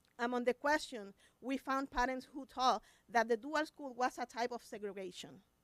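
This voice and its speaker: Moderate pace and ordinary pitch variation in a Spanish accent, with a dry, close sound and no echo. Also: woman. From Puerto Rico. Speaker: special education teacher. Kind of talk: public comment at school board meeting. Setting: school board meeting. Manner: reading prepared statement.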